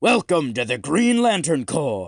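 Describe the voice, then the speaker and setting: Using a put-on character voice, a man speaks at a fairly high pitch with very wide pitch swings. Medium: read story. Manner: plain, instructive.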